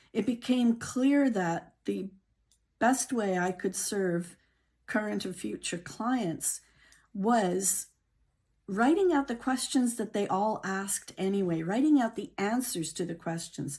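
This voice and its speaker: A woman's medium-pitched, somewhat breathy voice at a very slow pace with lively intonation, on a very clean recording with a silent background. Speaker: author and speaking coach. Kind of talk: interview.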